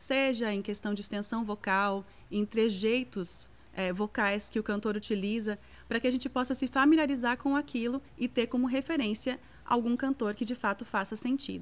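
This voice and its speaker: Speaking in a normal speaking voice, a woman talks at a moderate pace with a fairly high pitch and ordinary pitch variation. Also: very clean recording, silent background. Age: 30s. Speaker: singer and voice teacher. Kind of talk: lecture.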